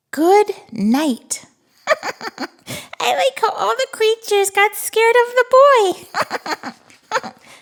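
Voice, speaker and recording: This is a cartoonish character voice at an extremely high pitch. It moves at a very slow pace. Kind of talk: children's read-aloud. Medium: puppet. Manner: upbeat, excited, playful.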